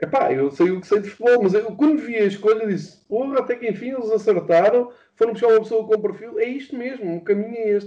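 Here a man talks at a very fast pace. His pitch is high, with ordinary pitch variation. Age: 40s. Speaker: football fan and pundit. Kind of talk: casual chat. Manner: halting.

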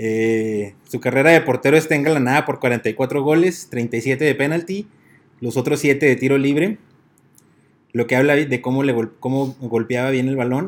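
With a Mexican accent, a man speaks at a fairly slow pace. His pitch is medium and varies in an ordinary way. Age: 30s. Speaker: sports podcast co-host. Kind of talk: casual chat.

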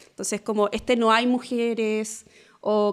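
A woman speaks with a fairly high pitch. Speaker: diversity and inclusion consultant. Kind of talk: casual chat.

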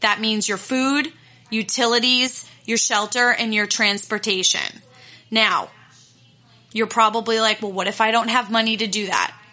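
With noticeable background noise behind her, a woman speaks at a fairly high pitch with fairly even intonation. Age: 30s. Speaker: podcast host and confidence coach. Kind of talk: solo podcast monologue. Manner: casual, with frequent fillers.

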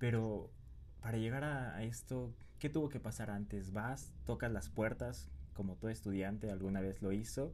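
This man's voice has a dark, mellow tone and a fairly low pitch with very wide pitch swings. He talks at a moderate pace, and audible room echo surrounds him. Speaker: podcast host. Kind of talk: interview.

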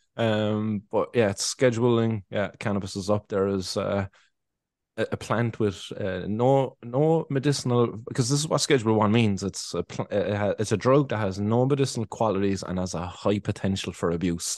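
A man with a Cork accent talks at a moderate pace in a fairly low pitch with ordinary pitch variation, the sound dry and close with no echo and the background quiet. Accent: Cork Irish. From Ireland, Cork. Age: 30s. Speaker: cannabis activist and podcaster. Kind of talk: casual interview chat.

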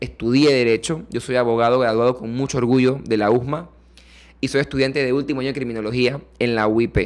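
A man with a normal speaking voice talks at medium pitch, a moderate pace and a fairly even intonation. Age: 20s. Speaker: political candidate and lawyer. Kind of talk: interview.

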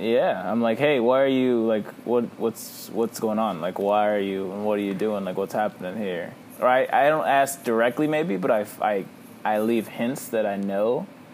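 Moderate pace against noticeable background noise. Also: man, medium pitch for a man, ordinary pitch variation. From Texas, Victoria. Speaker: podcast co-host. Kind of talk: casual chat.

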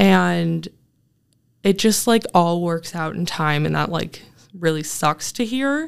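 Speaking at a very slow pace with long, frequent pauses, a woman is heard on a very clean recording with a silent background. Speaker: graduate student. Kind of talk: interview.

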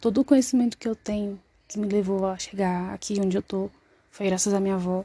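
Over a quiet background, a woman with a medium pitch and a dark, mellow tone speaks at a moderate pace, somewhat breathy, with fairly even intonation. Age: 20s. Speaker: student. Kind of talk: self-introduction in class. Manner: halting.

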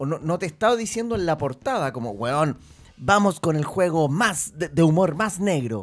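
A man speaks in a Chilean accent at a moderate pace. His pitch swings very widely. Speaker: podcast host. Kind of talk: casual chat.

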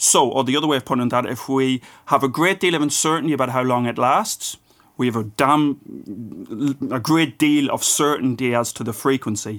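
This man talks at a moderate pace with an Irish accent. His pitch is medium with ordinary variation. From Ireland. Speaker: physics professor and author. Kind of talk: casual interview.

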